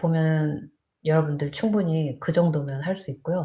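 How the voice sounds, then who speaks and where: Somewhat breathy and dark, mellow in tone, a woman's very deep, low voice moves at a fairly slow pace. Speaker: nurse. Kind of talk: live stream chat. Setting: live stream on borrowed laptop. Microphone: laptop mic, unsure if audio works.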